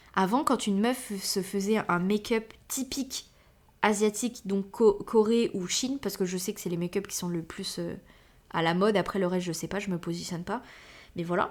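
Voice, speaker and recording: On a very clean recording with a silent background, a woman speaks at a moderate pace in an animated tone, her medium pitch showing ordinary variation. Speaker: podcast host. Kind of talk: casual monologue. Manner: filler-heavy.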